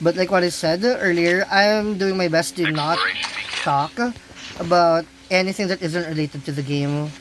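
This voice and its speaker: Noticeable background noise runs through the clip. The speaking pace stays moderate. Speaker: gaming streamer. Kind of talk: gameplay commentary. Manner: animated.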